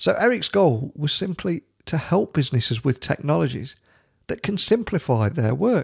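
Very widely swinging in pitch, with vocal fry and a British accent, the voice comes through dry and close with no echo in a very clean recording with a silent background. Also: man. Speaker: tech podcast host. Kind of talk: interview. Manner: enthusiastic.

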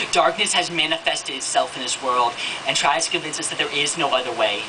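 Noticeable noise runs behind speech delivered very rapidly. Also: man. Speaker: spoken word poet. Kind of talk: spoken word poetry performance. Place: stage. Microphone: handheld.

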